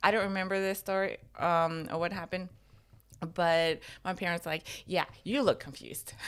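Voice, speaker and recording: A woman with an American accent talks at a moderate pace and a medium pitch, with ordinary pitch variation and long, frequent pauses, in a very clean recording with a silent background. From Norway, early childhood in Atlanta. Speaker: podcast co-host. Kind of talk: casual chat.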